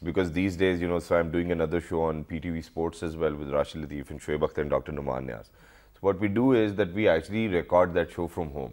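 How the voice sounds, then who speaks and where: A man's very deep, low voice at a very fast pace, with ordinary pitch variation and a quiet background. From Pakistan. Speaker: TV show host. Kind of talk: TV interview. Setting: TV studio. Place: studio.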